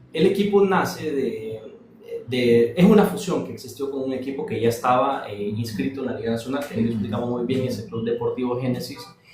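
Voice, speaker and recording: Very wide pitch swings at a fairly quick pace, with audible room echo. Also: man. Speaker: investigative journalist. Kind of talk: casual chat. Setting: TikTok live stream. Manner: soft-spoken.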